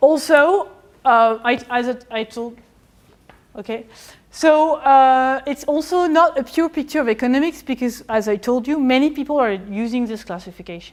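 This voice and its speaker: A woman's high-pitched voice with a French accent, ordinary pitch variation and a moderate pace against a quiet background. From France. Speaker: historian of economics; lecturer. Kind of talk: lecture. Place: classroom.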